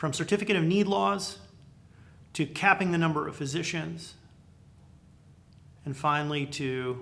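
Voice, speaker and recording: Leaving long, frequent pauses, a man speaks at a moderate pace with a fairly high pitch and lively intonation. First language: not English. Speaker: healthcare business commentator. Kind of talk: unscripted video monologue. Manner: animated.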